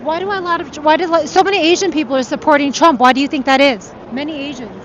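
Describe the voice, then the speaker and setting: Over noticeable background noise, a woman with an American accent speaks very fast in a high pitch, with an energetic tone and ordinary pitch variation. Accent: New York accent, comes out in New York. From New York City. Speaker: political rally field reporter. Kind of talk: live street interviews. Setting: outdoors in rally line, live stream. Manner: energetic, conversational.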